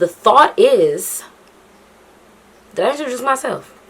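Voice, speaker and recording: A woman takes her time at a fairly slow pace, her intonation lively, with noticeable noise in the background. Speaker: YouTuber. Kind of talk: casual vlog commentary.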